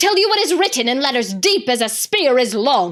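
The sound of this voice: A woman's put-on character voice, shrill and high-pitched, at a moderate pace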